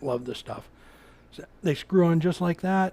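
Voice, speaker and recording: A high-pitched man in an American accent, at a moderate pace. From Oregon, US Pacific Northwest. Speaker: woodturner. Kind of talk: live-stream tutorial with chat. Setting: workshop live stream. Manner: casual, halting with repetitions.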